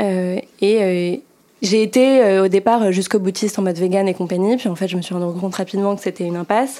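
With noticeable background noise behind her, a woman talks at medium pitch and a moderate pace, her intonation fairly even. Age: 20s. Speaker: food startup founder. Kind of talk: podcast interview. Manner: hesitant, many fillers.

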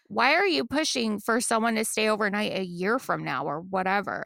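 A woman speaks with an American accent. Her tone is bright and sharp, with vocal fry. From Texas. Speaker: podcast co-host. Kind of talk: casual chat.

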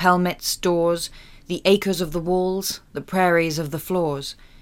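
Using a normal speaking voice, a woman talks at a fairly slow pace and a fairly low pitch. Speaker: actor reading poem. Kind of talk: poetry reading. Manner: measured, expressive poetic delivery.

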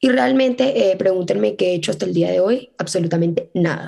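A woman speaks with a fairly low pitch and a dark, mellow tone. Vocal fry runs through her voice. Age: 20s. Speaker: podcast host and law student. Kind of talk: casual solo monologue. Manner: fast, chatty.

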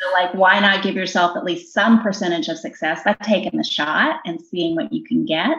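A woman with an American accent talks at a moderate pace and medium pitch, her voice making very wide pitch swings. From US South, southwest Virginia (Bristol). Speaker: corporate HR executive. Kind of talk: interview.

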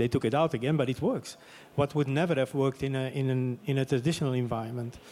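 Speaking very fast with a Dutch accent, a man keeps a medium pitch, a dark, mellow tone, fairly even intonation and very even loudness. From Flemish Belgium. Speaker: sports media executive. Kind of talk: panel discussion. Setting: stage with audience.

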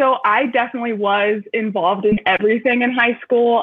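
A woman uses a normal speaking voice, fairly high in pitch, with ordinary pitch variation. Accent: American. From Metro Detroit, US Midwest. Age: 20s. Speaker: university student panelist. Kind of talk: live panel discussion.

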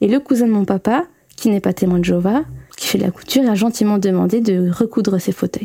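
With a Belgian accent, a woman talks at a fairly quick pace in a dark, mellow tone with ordinary pitch variation, and the sound is dry and close with no echo. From Belgium. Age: 20s. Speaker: former Jehovah's Witness sharing her story. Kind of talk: personal testimony.

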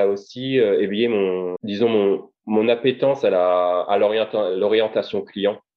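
A man with a fairly low pitch talks at a fairly slow pace with hardly any pauses. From Paris suburbs, France. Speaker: consultant and author. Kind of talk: interview. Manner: halting, many repetitions.

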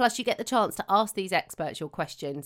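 At a fairly quick pace, a woman with a medium pitch speaks with lively intonation in a very clean recording with a silent background. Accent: British. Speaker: podcast host. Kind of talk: interview; read ad.

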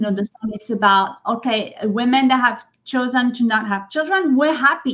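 Lively intonation marks a woman's high-pitched voice with a French accent. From France, French Riviera. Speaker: singer-songwriter. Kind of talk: interview. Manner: halting.

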